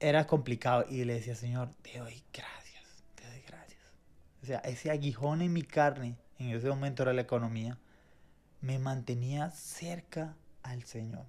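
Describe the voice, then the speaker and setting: Somewhat breathy, the speech unfolds fairly slowly. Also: man, medium pitch for a man, fairly even intonation, big swings in loudness. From Venezuela. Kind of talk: faith podcast conversation, testimony.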